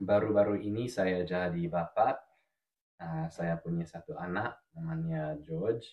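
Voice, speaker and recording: A man's very deep, low voice at a fairly slow pace, with lively intonation. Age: 20s. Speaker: language teacher. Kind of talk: casual chat. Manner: halting.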